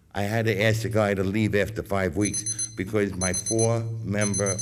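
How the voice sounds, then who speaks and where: The voice is monotone, with flat intonation, at a moderate pace. Noticeable background noise runs behind it. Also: man. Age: 60s. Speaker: business owner, public commenter. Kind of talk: public comment. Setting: school board meeting.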